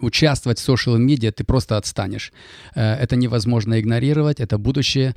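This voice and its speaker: Recorded very cleanly against a silent background with a dry, close sound and no echo, a man talks at a medium pitch with fairly even intonation. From Kazakhstan (Kaskelen, near Almaty). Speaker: financial consultant and mortgage broker. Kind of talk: interview. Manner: halting.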